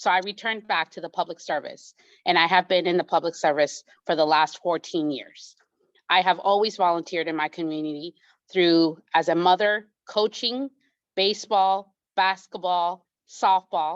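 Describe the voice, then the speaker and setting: In a plain, everyday voice, a woman speaks at a moderate pace with fairly even intonation and a fairly low pitch, the sound dry and close with no echo. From immigrant, came to the US at age eight. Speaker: judicial candidate, attorney. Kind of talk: candidate forum speech.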